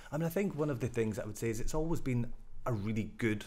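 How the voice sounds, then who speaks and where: Talking very fast, a man lets his pitch vary in an ordinary way. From Scotland, Glasgow. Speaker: rail company director. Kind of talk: interview.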